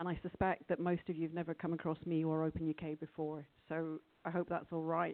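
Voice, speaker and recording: A woman speaks quietly and very fast, her fairly low voice monotone and flat. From Scotland. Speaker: conference speaker, open source lawyer. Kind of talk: conference talk. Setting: conference room with audience.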